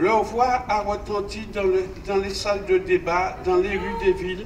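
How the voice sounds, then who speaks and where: Noticeable background noise surrounds speech delivered at a fairly slow pace. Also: man. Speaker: speaker. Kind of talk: formal commemorative speech. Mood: solemn, measured. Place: street. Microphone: podium.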